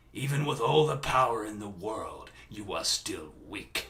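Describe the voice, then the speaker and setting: A man performs a raspy, put-on character voice. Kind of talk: character voice impressions. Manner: menacing.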